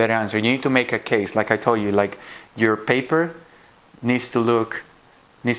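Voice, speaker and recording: Speaking at a moderate pace, a man with a non-native accent has a medium pitch. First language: not English. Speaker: physician giving interview tips to students. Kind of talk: lecture.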